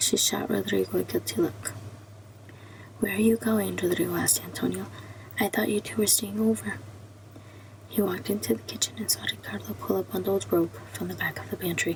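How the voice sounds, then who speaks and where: The delivery is fairly quick, and noticeable background noise can be heard. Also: woman. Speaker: ASMR creator. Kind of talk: ASMR book reading. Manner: whispered.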